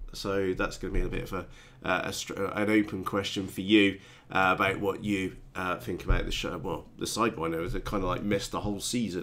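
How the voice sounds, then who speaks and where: A man with a British accent, fairly low in pitch, at a fairly quick pace with fairly even intonation. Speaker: RC hobby youtuber. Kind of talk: live stream chat. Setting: live stream. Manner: halting, many fillers.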